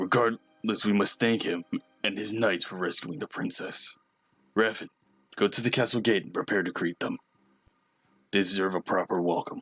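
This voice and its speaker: A man's put-on character voice at a fairly low pitch and moderate pace, with fairly even intonation, long, frequent pauses, a dry, close sound with no echo, and faint background music. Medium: game stream. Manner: measured, authoritative.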